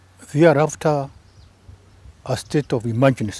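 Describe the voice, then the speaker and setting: His voice has a dark, mellow tone and sounds somewhat breathy. The man speaks at a fairly slow pace. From Kenya, Embu. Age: 70s. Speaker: retired government press officer and author. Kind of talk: interview.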